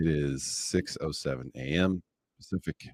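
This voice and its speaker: A man speaks in a very deep, low pitch with vocal fry, a relaxed tone and ordinary pitch variation. The sound is dry and close, with no echo. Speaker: day trader streaming live. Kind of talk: live trading commentary. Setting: live stream. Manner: relaxed, chill.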